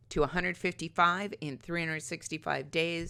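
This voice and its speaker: The voice has a bright, sharp tone and fairly even intonation at a moderate pace. The recording is very clean, with a silent background. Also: woman. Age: 60s. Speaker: weight loss vlogger. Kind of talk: video diary tutorial.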